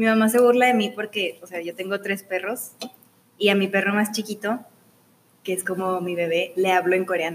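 Speaking at a moderate pace, a woman of medium pitch uses fairly even intonation in an ordinary speaking voice. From Mexico, Ciudad Juárez, Chihuahua. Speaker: student. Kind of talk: casual interview. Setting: studio.

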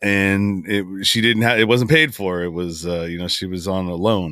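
This man has a Californian accent and a very deep, low voice. His intonation stays fairly even. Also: very clean recording, silent background. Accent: Californian American English. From Northern California (San Francisco Bay Area). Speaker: podcaster. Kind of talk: interview, life story testimony. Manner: halting, repeats words.

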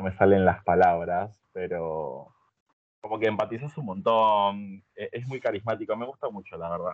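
A man with a Rioplatense accent speaks at a fairly low pitch with ordinary variation. His pace is moderate, and his loudness swings a lot. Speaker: social media content creator. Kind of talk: casual chat.

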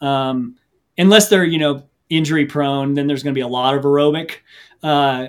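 A man with a normal speaking voice, fairly high in pitch, fairly quick and fairly even in intonation. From US Midwest, Missouri. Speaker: ultra runner and coach. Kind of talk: casual interview.

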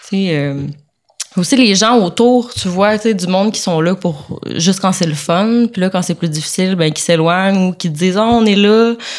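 Over noticeable background noise, a woman speaks at a fairly slow pace with a medium pitch and lively intonation. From Quebec, Sainte-Anne-de-Sorel. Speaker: barista. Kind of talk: casual chat.

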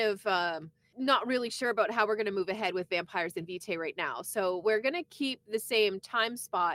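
In a Canadian accent, a woman with a fairly high pitch and a bright, sharp tone speaks at a moderate pace with lively intonation, the recording very clean and silent in the background, the sound dry and close with no echo. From eastern Canada. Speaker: podcast co-host, former radio worker. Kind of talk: casual chat.

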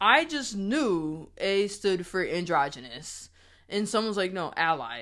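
Speaking at a fairly slow pace, a woman with an American accent uses a medium pitch, very wide pitch swings and vocal fry. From Springfield, Massachusetts. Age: 30s. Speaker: podcast host. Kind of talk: casual chat.

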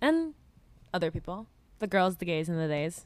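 The voice belongs to a woman. The recording is very clean, with a silent background. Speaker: podcast co-host. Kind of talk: casual chat. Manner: soft-spoken.

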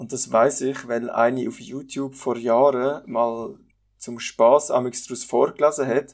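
A man speaks in a normal speaking voice at a medium pitch and a fairly slow pace. His intonation is fairly even, while his loudness swings widely. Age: 20s. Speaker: podcast co-host. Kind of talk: casual chat.

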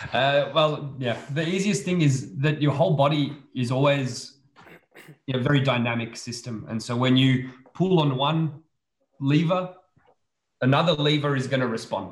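A man with an Australian accent speaks at a moderate pace and a fairly high pitch. His voice is somewhat breathy, with ordinary pitch variation. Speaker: immunology researcher. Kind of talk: casual expert discussion.

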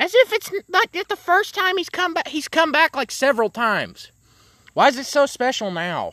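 A man speaks in a raised, projected voice with an extremely high pitch, very wide pitch swings, and a bright, sharp, animated tone at a moderate pace. The recording is very clean with a silent background, and the sound is dry and close with no echo. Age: young. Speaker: podcast host. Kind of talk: casual chat.

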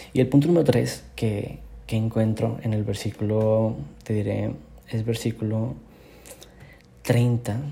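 A man with a dark, mellow tone speaks at a medium pitch, somewhat breathy and at a very slow pace. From northern Mexico, Monterrey. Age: 20s. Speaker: youth preacher. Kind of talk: devotional sermon. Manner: casual, with frequent word repetitions.

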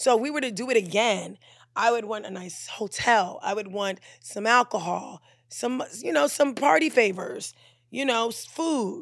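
On a very clean recording with a silent background, a woman speaks at a moderate pace and fairly high pitch, her tone animated and playful and her intonation lively. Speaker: podcast host. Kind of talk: casual banter, comedic chat. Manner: animated, playful, excitable.

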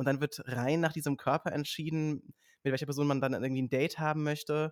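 Very rapid delivery from a man, pitched fairly high. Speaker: author and social media creator. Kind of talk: casual chat. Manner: fast.

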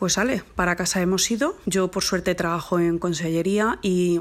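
A woman talks at a moderate pace in an unremarkable speaking voice. Her pitch sits in the medium range. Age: 40s. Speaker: mother recording a lockdown diary. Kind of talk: personal monologue.

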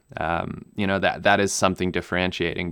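A man with a German accent speaks at a fairly quick pace in a very deep, low voice. The recording is very clean, with a silent background. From Namibia. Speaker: pilot and video creator. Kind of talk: interview. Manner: hesitant with many fillers.

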